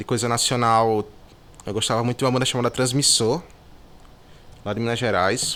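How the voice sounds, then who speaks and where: A man with a bright, sharp tone and medium pitch talks fairly quickly with fairly even intonation, leaving long, frequent pauses. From Brazil, Natal, Rio Grande do Norte. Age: 20s. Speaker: singer-songwriter and music producer. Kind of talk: interview. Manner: casual, hesitant with fillers.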